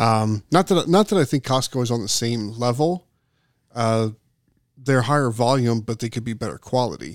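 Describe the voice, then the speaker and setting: A man's medium-pitched, normal speaking voice at a moderate pace with ordinary pitch variation, a dry, close sound with no echo, and a very clean recording with a silent background. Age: 50s. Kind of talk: casual chat.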